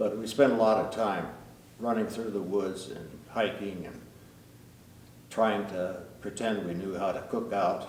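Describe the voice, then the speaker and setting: With an Upper Midwest accent, the speaker talks at a fairly slow pace with ordinary pitch variation. Room echo is audible. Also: man. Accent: Upper Midwest American. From US Midwest, northeast Iowa. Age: 80s+. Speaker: retired air force pilot. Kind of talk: interview storytelling.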